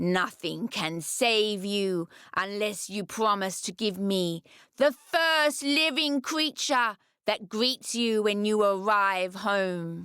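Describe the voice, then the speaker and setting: Putting on a character voice, a woman growls at a medium pitch and a very slow pace. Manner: menacing, growling.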